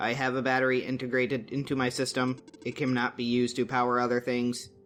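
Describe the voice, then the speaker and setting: A man's put-on character voice at medium pitch, very fast and monotone, with flat intonation. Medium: game stream. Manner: literal, formal.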